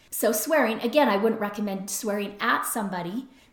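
Noticeable background noise sits under this clip. A woman speaks at a moderate pace with ordinary pitch variation. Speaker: podcast host, recovery and relationships. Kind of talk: solo podcast monologue. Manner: conversational.

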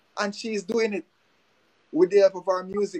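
In a dry, close recording with no echo, a man with a Jamaican accent speaks with ordinary pitch variation. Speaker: music promoter and DJ. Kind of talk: casual interview.

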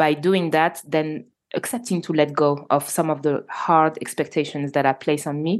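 In a French accent, a woman speaks with a very deep, low pitch and fairly even intonation. She keeps a moderate pace against a quiet background. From Normandy, France. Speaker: entrepreneur and filmmaker. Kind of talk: interview conversation. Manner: halting.

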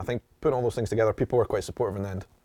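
Speaking very fast with a Scottish accent, a man at a medium pitch is heard in a dry, close sound with no echo on a very clean recording with a silent background. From Edinburgh, Scotland. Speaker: travel vlogger. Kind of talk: interview conversation. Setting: in person, studio.

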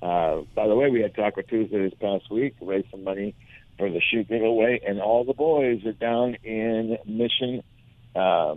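An unremarkable speaking voice belongs to a man who talks at a moderate pace with ordinary pitch variation. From Southern California, Huntington Beach. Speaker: fishing radio show host. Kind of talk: casual radio chat. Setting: remote phone line into radio studio.

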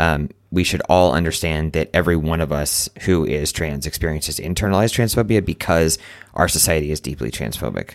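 A man's very deep, low voice with vocal fry, fairly quick in pace and ordinary in pitch variation, on a very clean recording with a silent background. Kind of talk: casual chat.

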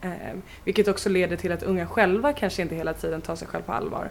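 Fairly low in pitch, a woman uses an ordinary speaking voice with fairly even intonation. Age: 20s. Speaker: youth participation project leader. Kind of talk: interview.

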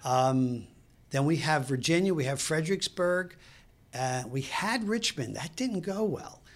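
Speaking at a fairly slow pace, a man has a fairly high pitch and a Brooklyn accent. His intonation is lively. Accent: New York (Brooklyn). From New York City (Brooklyn). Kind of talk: casual interview chat. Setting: studio.

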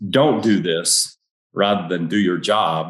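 A man speaks in a fairly low voice. His pitch variation is ordinary. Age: 70s. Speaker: author and leadership trainer, retired police officer. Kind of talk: interview.

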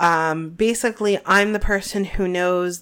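The recording is very clean with a silent background. A woman talks very slowly with ordinary pitch variation. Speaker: podcast co-host. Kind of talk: casual chat. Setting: home recording.

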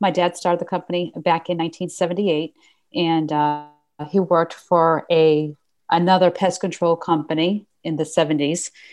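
With a Boston accent, a woman talks at a fairly slow pace over a quiet background. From New England, Boston area. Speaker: pest control company owner. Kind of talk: interview conversation.

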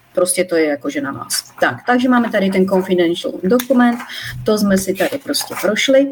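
A woman talks at a moderate pace and a medium pitch, her pitch swinging very widely. Noticeable noise sits in the background. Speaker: molecular biologist. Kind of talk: live-stream interview. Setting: live Facebook stream. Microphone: poorer audio quality.

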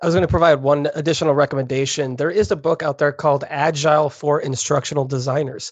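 The speech comes at a very fast pace with hardly any pauses. Its intonation is fairly even. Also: man, fairly high pitch for a man. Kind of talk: live panel discussion. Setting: stage with audience.

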